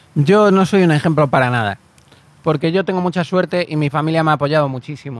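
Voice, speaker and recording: The man's pitch sits fairly high. He talks at a very fast pace. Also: ordinary pitch variation. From Canary Islands, Spain (Galician family). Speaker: actor and screenwriter. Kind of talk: casual interview chat.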